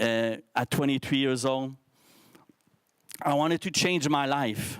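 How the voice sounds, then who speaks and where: With a Quebec accent, a man speaks at a fairly slow pace. His pitch is fairly high, with ordinary variation. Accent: French-Canadian accent in English. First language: French. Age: 50s. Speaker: social entrepreneur, speaker. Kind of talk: motivational talk to youth forum. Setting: stage with live audience, streamed. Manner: halting, with false starts.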